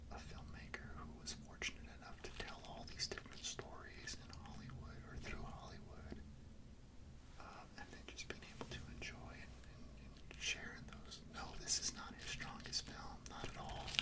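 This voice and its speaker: A man whispers at a moderate pace with noticeable background noise around him. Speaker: ASMR creator. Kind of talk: casual movie review rant. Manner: whispered.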